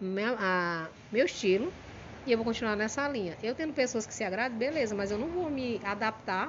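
In an ordinary speaking voice, a woman talks at a moderate pace in a fairly high pitch with lively intonation. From Maranhão, Brazil (São Luís). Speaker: comedian. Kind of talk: casual chat.

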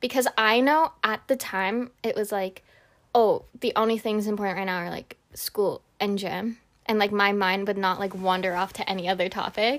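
In a normal speaking voice, a woman talks at medium pitch and a moderate pace with fairly even intonation. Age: 20s. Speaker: podcast co-host. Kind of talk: casual chat.

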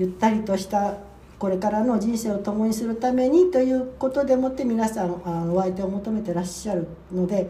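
With audible room echo around her, a woman talks fairly quickly. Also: fairly high pitch for a woman, ordinary pitch variation. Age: 70s. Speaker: podcast co-host, worker at a same-sex partner matchmaking agency. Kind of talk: casual chat.

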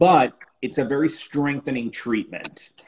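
Speaking at a moderate pace, a man with a fairly high pitch has a normal speaking voice. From Miami, South Florida. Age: 40s. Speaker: celebrity facialist. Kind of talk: casual interview on a livestream.

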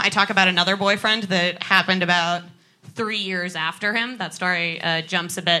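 A woman's bright, sharp, deadpan, playful tone at medium pitch, fairly quick in pace, with fairly even intonation. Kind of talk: live stand-up set with cheeky crowd banter. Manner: deadpan, sassy, playful flirting with the audience.

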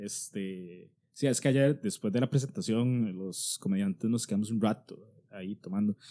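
A man talks at a moderate pace in a fairly low, dark and mellow voice with ordinary pitch variation. The recording is very clean, with a silent background. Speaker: comedian podcast host. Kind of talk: casual chat.

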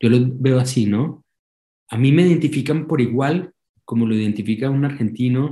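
A man speaks at a moderate pace and a medium pitch with ordinary pitch variation. His voice is somewhat breathy, with a dark, mellow tone. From Colombia. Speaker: documentary filmmaker. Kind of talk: interview. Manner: halting, many repeated words.

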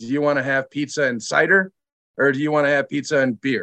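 A man's bright, sharp voice with an Upper Midwest accent, fairly even in intonation, at a moderate pace, in a dry, close sound with no echo. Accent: Upper Midwest American. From Michigan, Lansing. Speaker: brewery sales director. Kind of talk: casual interview chat.

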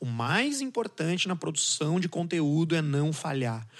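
The man's voice sits fairly high and sounds somewhat breathy, with ordinary pitch variation. The background is quiet. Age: 30s. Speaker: communicator, podcaster. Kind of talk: casual chat.

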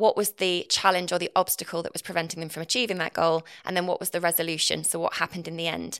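At a very fast pace with hardly any pauses, a woman with an East Midlands accent speaks in a monotone, flat way at fairly low pitch, the sound dry and close with no echo. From England, Nottinghamshire (East Midlands). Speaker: copywriter and marketer, former journalist. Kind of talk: interview conversation. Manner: fast talker.

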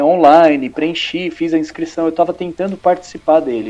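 A man speaks at a high pitch and a moderate pace, with ordinary pitch variation. Music plays in the background. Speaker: comic book author. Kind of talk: casual chat.

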